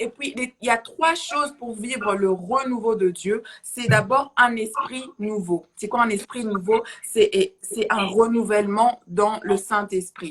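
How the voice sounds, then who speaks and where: Speaking at a very slow pace with hardly any pauses, a woman uses a fairly high pitch and ordinary pitch variation. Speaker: preacher. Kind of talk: sermon. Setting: livestream. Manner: halting.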